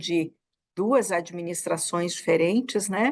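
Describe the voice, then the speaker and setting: A woman speaks at a fairly slow pace, and the background stays quiet. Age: 60s. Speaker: federal labor prosecutor. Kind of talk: interview. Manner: halting, many repetitions.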